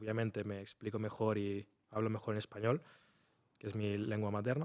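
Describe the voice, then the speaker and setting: A man with an unremarkable speaking voice talks at a fairly quick pace and medium pitch in a very clean recording with a silent background. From Spain, near Barcelona. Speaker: trader. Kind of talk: interview.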